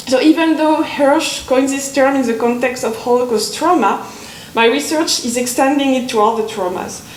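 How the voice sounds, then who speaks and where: A woman's high-pitched voice at a moderate pace, with audible room echo and noticeable background noise. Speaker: conference speaker, literature academic. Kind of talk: academic conference talk. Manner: halting, with hesitations.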